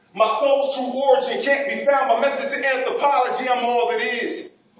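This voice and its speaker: A man speaks at an extremely high pitch with ordinary pitch variation. His moderate pace comes through audible room echo. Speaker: spoken word poet. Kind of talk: spoken word poetry performance. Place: hall. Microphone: camera far.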